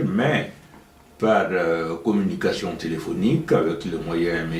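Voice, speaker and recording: Through audible room echo, a man speaks at a very slow pace with lively intonation. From Guinea. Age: 70s. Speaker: retired professor. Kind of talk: interview.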